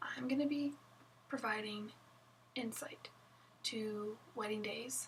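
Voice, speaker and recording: A woman with a fairly high voice is heard against noticeable background noise. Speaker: wedding photographer. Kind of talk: casual vlog chat. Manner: casual, chatty with fillers.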